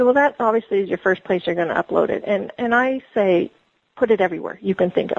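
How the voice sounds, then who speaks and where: Speaking very fast, this woman shows ordinary variation in her pitch. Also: medium pitch for a woman. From Quebec, Montreal. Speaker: fantasy author and book trailer maker. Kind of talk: interview. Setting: phone call.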